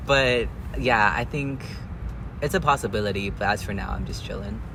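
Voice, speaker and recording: A man speaks with a fairly low pitch and very wide pitch swings. Noticeable background noise and audible room echo surround him. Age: 20s. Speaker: college student sharing transition story. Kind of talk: casual interview. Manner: fast.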